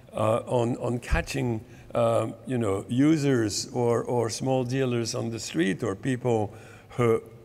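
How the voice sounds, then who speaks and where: A man with a French accent at medium pitch and a very slow pace, his intonation fairly even. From France. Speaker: medical professor and public health advocate. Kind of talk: conference talk. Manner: halting, with many repetitions.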